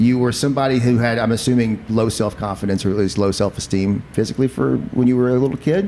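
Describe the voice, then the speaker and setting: In an Appalachian accent, the speaker talks at a very fast pace with hardly any pauses. The tone is dark and mellow, with very even loudness and ordinary pitch variation. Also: man, medium pitch for a man. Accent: Appalachian Kentucky twang. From eastern Kentucky, Appalachia. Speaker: podcast host and comedian. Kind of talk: casual chat. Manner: animated.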